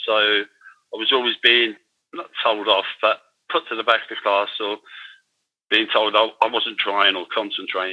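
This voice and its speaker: Talking at a fairly slow pace in a London accent, a man keeps a medium pitch and fairly even intonation. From London, England (Irish-born). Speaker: former offender turned digital artist. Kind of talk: interview testimony. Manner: halting, with many fillers and repetitions.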